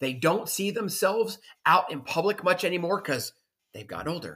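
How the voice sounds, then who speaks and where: A loud man's voice with lively intonation, an animated, passionate delivery, a bright, sharp tone and a moderate pace. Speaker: podcast host. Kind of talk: motivational solo monologue. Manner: loud, passionate, confident; animated, motivational.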